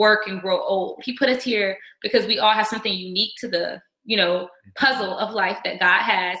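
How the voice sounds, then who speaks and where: This woman has a fairly high pitch and speaks with an American accent. It is an ordinary speaking voice. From Virginia, Norfolk area. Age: 20s. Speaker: dental student and nonprofit founder. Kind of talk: workshop talk. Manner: casual, with many fillers.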